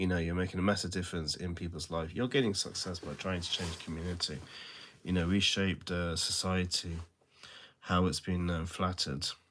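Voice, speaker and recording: A man with a very deep, low pitch speaks at a fairly quick pace with fairly even intonation. The recording is very clean and the background silent. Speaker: social media creator. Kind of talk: casual motivational talk to camera. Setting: self-recorded video. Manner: kept low, trying not to be loud; hesitant, many fillers.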